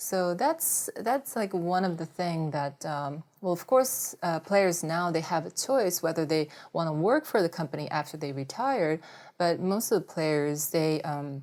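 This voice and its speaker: In a very clean recording with a silent background, a woman with a Japanese accent speaks fairly slowly in a fairly low pitch with lively intonation. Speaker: former Olympic volleyball player. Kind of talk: interview. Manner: hesitant, many fillers.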